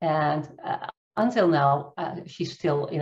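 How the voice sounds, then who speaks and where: In a Dutch accent, a woman speaks at a very slow pace with a very deep, low pitch and a somewhat breathy quality. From Netherlands. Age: 50s. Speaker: coach and trainer. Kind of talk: interview, nonnative English. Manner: halting, searching for words. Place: home room. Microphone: video call.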